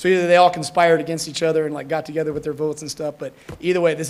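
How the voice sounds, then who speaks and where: A man speaks at a very fast pace. His pitch sits fairly high. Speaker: fire academy instructor. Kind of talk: ceremony speech. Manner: loud; casual, halting with fillers.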